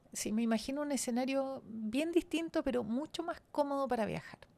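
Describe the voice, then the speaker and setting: The tone is dark and mellow. The speaker keeps a moderate pace with ordinary pitch variation. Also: woman. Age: 70s. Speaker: transport engineer and former government minister. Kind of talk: podcast interview.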